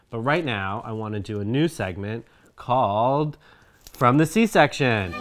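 Music plays in the background as a man speaks. He talks at a fairly slow pace with lively intonation. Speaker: co-host of reaction show. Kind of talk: casual vlog chat. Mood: playful, joking. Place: home room.

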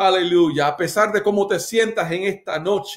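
A man speaks in a passionate tone at a fairly slow pace, his pitch high for a man. The background is quiet. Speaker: pastor leading online church service. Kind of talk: fervent prayer, worship exclamations, rising intensity; casual greeting chat with viewers. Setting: live stream on Instagram and Facebook. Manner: passionate, repetitive, emphatic; animated, warm, code-switching English and Spanish. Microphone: phone near.

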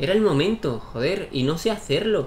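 Over noticeable background noise and audible room echo, a man's voice swings very widely in pitch. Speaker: gaming YouTuber. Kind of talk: gameplay commentary. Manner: animated.

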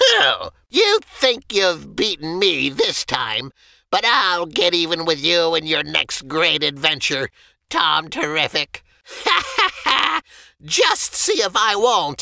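A man puts on a character voice, high-pitched and shrill. He cackles. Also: fairly slow pace. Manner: sneering, shrieking, cackling.

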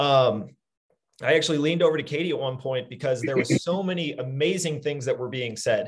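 Over a quiet background, a man talks at a fairly quick pace, somewhat breathy, with a fairly high pitch and ordinary pitch variation. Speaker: webinar host. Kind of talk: casual chat. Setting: video call. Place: office. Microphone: video call.

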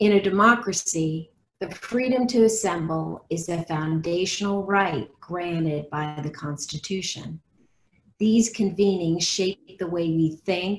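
Somewhat breathy, a woman with a fairly low pitch talks at a fairly slow pace with ordinary pitch variation. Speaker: nonprofit president and moderator. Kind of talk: webcast moderation. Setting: video call. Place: home room. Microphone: video call.

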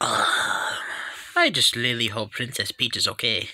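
A put-on character voice is used here. Delivery comes at a fairly slow pace.

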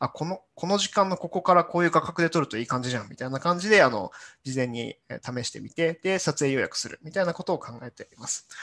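A man talks at a very fast pace in a high pitch against a quiet background. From Japan, Yamanashi (Hokuto); Japan. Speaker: corporate engineer/business developer giving talk; presenter. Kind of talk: conference talk. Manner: halting, many fillers. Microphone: webcam.

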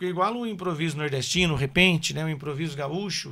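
A man with a bright, sharp tone, ordinary pitch variation and a moderate pace, over a quiet background. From São Paulo, Brazil (born in Paraná); São Paulo, Brazil. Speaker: musician; podcast guest. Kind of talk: casual interview chat. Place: studio. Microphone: studio mic.

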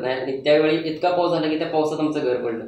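The intonation is monotone and flat. Audible room echo hangs on the voice. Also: man. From Maharashtra, Satara district (Man taluka); Maharashtra. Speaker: intelligence officer recruit; interviewee. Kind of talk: interview. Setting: studio. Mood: earnest, reflective. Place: studio.

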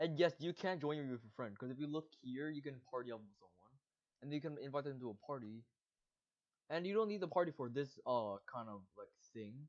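This man speaks at a fairly quick pace in a fairly high pitch, his tone animated, his intonation lively and his loudness swinging widely. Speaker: gaming youtuber. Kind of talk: gameplay tutorial. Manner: fast.

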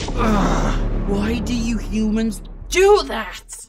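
A raspy, fairly high put-on character voice moves at a very slow pace.

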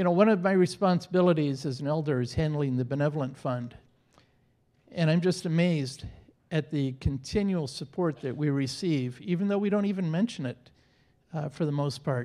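A man speaks at a fairly quick pace in a dark, mellow tone against a quiet background. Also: ordinary pitch variation. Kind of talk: church announcements. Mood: warm, friendly. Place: church. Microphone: handheld.

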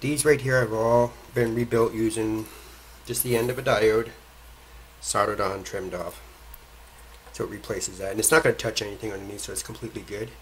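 A man speaks at a fairly quick pace. Light background noise is present. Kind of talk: tutorial. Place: workshop.

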